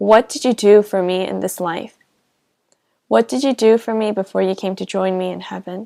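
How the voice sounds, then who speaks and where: A fairly slow voice with a Korean accent and a dark, mellow tone, dry and close with no echo, on a very clean recording with a silent background. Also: woman. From South Korea. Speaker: pastor. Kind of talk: testimony.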